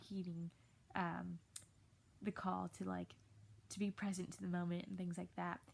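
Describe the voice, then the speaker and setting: The woman's voice carries a somewhat breathy quality. Her intonation stays fairly even. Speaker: high school English teacher. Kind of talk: video lecture to students. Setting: recorded at home in bed. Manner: casual, many fillers.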